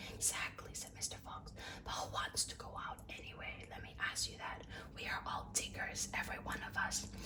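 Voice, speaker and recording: A woman whispers at a moderate pace. There is noticeable background noise behind her. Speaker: ASMR content creator. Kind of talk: ASMR book reading. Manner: whispered, soft.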